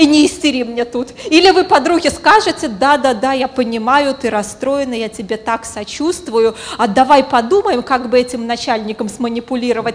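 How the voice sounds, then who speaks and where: Over noticeable background noise, a woman with a high-pitched voice speaks at a fairly quick pace with ordinary pitch variation. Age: 30s. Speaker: psychologist and business coach. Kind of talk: conference talk. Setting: stage with audience.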